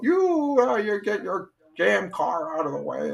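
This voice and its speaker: A man shouts in a put-on character voice, pitched high and delivered at a moderate pace. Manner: yelling, irritated.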